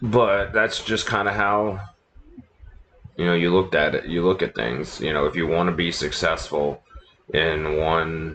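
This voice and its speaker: Speaking at a fairly slow pace, a man uses a very deep, low pitch with ordinary pitch variation. He leaves long, frequent pauses. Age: 40s. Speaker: livestream gamer and former radio DJ. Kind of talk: casual chat. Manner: low-key, talking low. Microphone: laptop microphone, quality a bit garbage.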